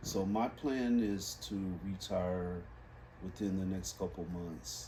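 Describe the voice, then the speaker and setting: The man's pitch is fairly low and his pace very slow. Audible room echo surrounds his voice. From Los Angeles, California. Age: 60s. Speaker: reading instructor. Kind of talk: interview.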